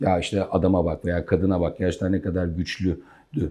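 The tone is dark and mellow, the pace moderate, and the background quiet. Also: man. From Gaziantep, Turkey. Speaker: company CEO. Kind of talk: interview answers about career and leadership. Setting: in his office, interview.

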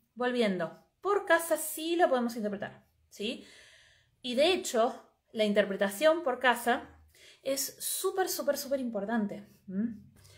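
A woman's high-pitched voice at a very slow pace, with very wide pitch swings, over a quiet background. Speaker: astrologer and astrology teacher; astrology teacher. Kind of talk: live stream talk. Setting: live video stream. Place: home room. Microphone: earbuds.

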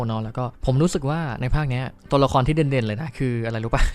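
A man's normal speaking voice at medium pitch, with fairly even intonation. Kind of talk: casual movie review talk. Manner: chatty, informal.

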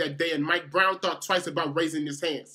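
A man speaks with a high pitch and a bright, sharp tone. The background is quiet. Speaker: spoken word poet. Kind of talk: spoken word poetry performance.

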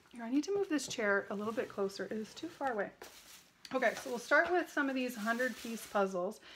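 A woman's lively intonation at a fairly quick pace, with light background noise. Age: 40s. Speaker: haul video creator. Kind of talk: casual product haul talk to camera. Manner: chatty, casual. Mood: enthusiastic, friendly. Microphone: phone near.

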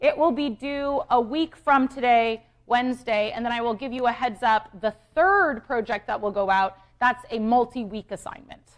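Against a quiet background, a woman talks at a moderate pace. Her voice is high-pitched, with ordinary pitch variation. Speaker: university lecturer. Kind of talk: lecture. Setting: lecture hall with students. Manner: animated. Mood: light, joking. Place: hall.

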